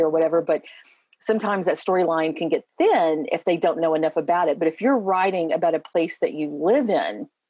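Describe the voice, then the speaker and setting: At a fairly quick pace, a woman with an Appalachian accent talks in a fairly low pitch. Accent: Appalachian Kentucky. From Eastern Kentucky. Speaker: educator. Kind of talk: casual chat.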